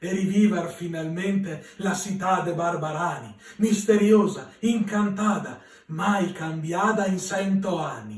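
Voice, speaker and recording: A man's high-pitched voice with a Venetian accent, very slow in pace and fairly even in intonation. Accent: Veronese dialect. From Verona, Italy. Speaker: poet. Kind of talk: poetry reading.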